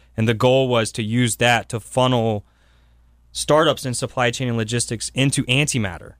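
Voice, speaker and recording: In a very clean recording with a silent background, a man speaks in a plain, everyday voice at a medium pitch with fairly even intonation. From South Carolina, Columbia. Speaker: entrepreneur and venture investor. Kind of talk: radio interview.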